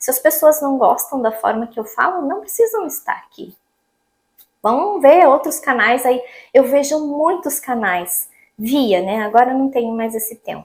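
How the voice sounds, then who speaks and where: A woman with a Paraná accent speaks fairly slowly at a high pitch, her voice making very wide pitch swings and big jumps in loudness. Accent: Paraná Brazilian Portuguese. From Brazil, Paraná. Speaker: vlogger. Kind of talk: casual vlog monologue.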